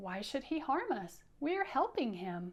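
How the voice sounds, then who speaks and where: Using a put-on character voice, a woman speaks at a high pitch and a fairly slow pace, her pitch swinging very widely. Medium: read story.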